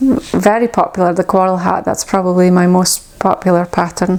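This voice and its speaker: Noticeable background noise sits behind this woman. She has a Shetland accent, a medium pitch, and fairly even intonation. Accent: Shetland Scottish. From Shetland, Scotland. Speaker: knitwear designer. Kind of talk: casual talk to camera.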